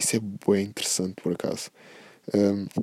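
The speaker talks at a fairly quick pace in a European Portuguese accent, and the sound is dry and close with no echo. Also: man. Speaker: podcast host. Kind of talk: casual monologue. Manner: animated.

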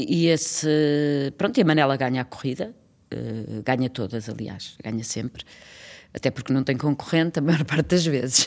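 Her voice very deep and low, a woman with a slight Trás-os-Montes accent speaks at a fairly slow pace, using lively intonation and long, frequent pauses. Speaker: actress and children's theatre director. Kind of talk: casual interview.

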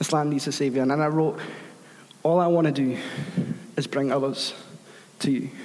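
A man speaks at a fairly quick pace with very even loudness, leaving long, frequent pauses. Audible room echo and noticeable background noise come through. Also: fairly high pitch for a man, fairly even intonation. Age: 30s. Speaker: guest preacher. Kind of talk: sermon.

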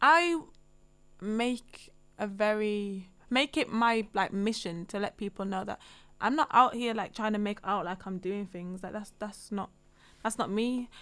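A woman talks in a normal speaking voice at a fairly high pitch. She goes at a fairly slow pace with ordinary pitch variation. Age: 20s. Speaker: voiceover artist. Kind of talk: casual chat.

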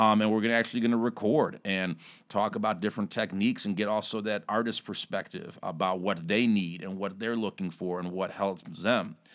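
A man with a plain, everyday voice talks at a fairly quick pace and a fairly low pitch, with fairly even intonation. The recording is very clean, with a silent background. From Chicago. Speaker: recording studio owner. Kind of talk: casual interview. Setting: studio.

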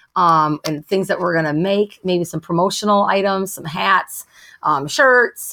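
Recorded dry and close with no echo, a woman with an American accent speaks in a plain, everyday voice at medium pitch with ordinary pitch variation. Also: fairly slow pace. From rural Wisconsin. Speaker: makeup artist and entrepreneur. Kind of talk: casual interview.

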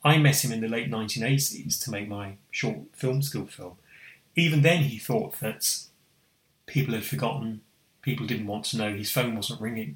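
Lively intonation from a man with an ordinary speaking voice, paced moderately. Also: medium pitch for a man. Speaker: foundation trustee and co-host. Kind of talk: casual chat.

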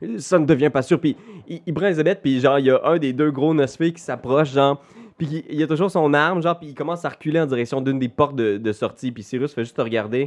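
A man rattles off his words very fast at a fairly high pitch, with ordinary pitch variation. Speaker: game master of a role-playing game. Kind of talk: role-playing game narration. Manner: animated.

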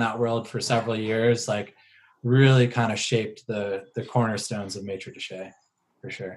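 Heard on a very clean recording with a silent background, a man with a plain, everyday voice and an American accent speaks at a medium pitch and moderate pace, his intonation fairly even but his loudness swinging widely. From Maryland, US (Howard County, between Baltimore and DC). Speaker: winemaker. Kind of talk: casual interview.

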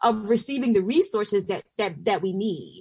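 Speaking at a moderate pace, a woman with an American accent uses lively intonation. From US South, southwest Georgia. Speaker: pastor and organizer. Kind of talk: radio panel discussion.

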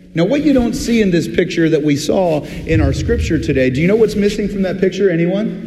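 A man at a high pitch and a fairly quick pace, hardly any pauses and very even loudness, with audible room echo and noticeable background noise. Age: 40s. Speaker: pastor. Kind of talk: sermon. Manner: conversational, with filler words.

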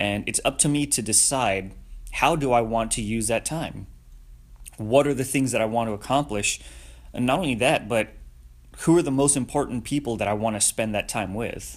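A plain, everyday voice from a man, medium in pitch with ordinary pitch variation, at a moderate pace, on a very clean recording with a silent background. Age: 30s. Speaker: podcast host, motivational speaker. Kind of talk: solo podcast monologue. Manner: casual, with fillers and restarts.

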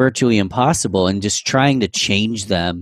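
Speaking in an animated tone with an American accent, a man with a fairly low pitch is captured in a very clean recording with a silent background and a dry, close sound with no echo. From New York. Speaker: podcast host. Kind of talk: casual interview chat.

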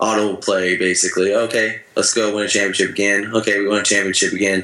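Speech comes at a fairly quick pace in an American accent, with flat, monotone intonation. Noticeable background noise runs underneath. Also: man. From Northern California, Sacramento. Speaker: baseball pitcher. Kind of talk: interview.

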